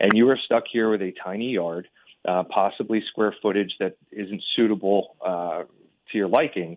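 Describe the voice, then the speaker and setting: Speaking at a moderate pace in a plain, everyday voice, a man with an American accent has a fairly low pitch and ordinary pitch variation. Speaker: real estate agent. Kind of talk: radio interview.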